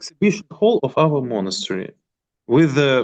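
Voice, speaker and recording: With a Russian accent, a man speaks at a very slow pace while his pitch swings very widely. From Moscow, Russia. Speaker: monk priest. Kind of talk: online group meeting. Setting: video call. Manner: halting.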